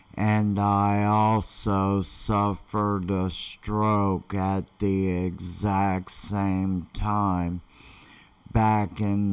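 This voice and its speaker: This man's fairly low voice stays flat and monotone as he speaks very slowly. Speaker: online marketer; vlogger telling his life story. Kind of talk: live stream talk. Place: home room. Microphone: webcam.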